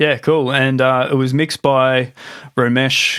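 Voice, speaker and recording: In an Australian accent, a man speaks at a medium pitch and a fairly slow pace. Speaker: podcast host. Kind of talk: casual interview chat. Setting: video call.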